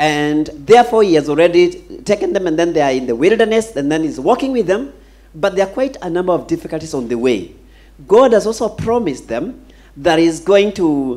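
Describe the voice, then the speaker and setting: A man's pitch swings very widely as he speaks. His tone is dark and mellow. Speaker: pastor. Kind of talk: sermon. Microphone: handheld.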